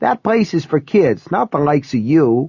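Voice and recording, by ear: A put-on character voice, shrill yet slightly mellow with a slightly husky edge and vocal fry, moves at a fairly slow pace through big pitch swings. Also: man, fairly high pitch for a man.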